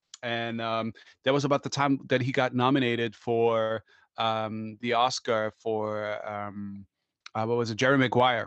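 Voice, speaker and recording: Fairly slow, monotone and flat delivery from a man. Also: medium pitch for a man. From Germany. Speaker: actor and TV presenter. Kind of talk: casual chat.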